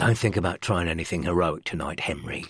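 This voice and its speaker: Using a put-on character voice, a man rasps and hisses at a very fast pace in a very deep, low pitch. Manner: menacing, hissing.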